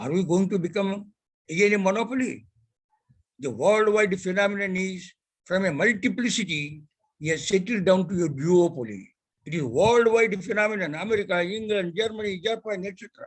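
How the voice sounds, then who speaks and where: A man with an Indian accent talks at a fairly quick pace in a high pitch. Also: ordinary pitch variation. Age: 90s. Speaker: telecom industry elder statesman. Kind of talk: ceremonial speech.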